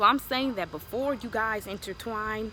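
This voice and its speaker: Amid noticeable background noise, a woman with an American accent and a medium pitch talks at a fairly slow pace. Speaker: lifestyle vlogger. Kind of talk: advice vlog. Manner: animated.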